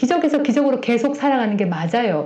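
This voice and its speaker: A woman speaks at a fairly quick pace in a Gyeongsang accent. Room echo is audible. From South Korea, Gyeongsang region. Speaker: Bible teacher, pastor's wife. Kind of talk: sermon-style Bible teaching.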